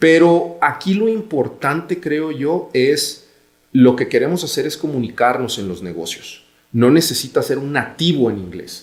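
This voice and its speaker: A man with a Guadalajara accent talks at a fairly slow pace. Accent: Mexican Spanish (Guadalajara). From Mexico, Guadalajara. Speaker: business executive. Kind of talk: podcast interview.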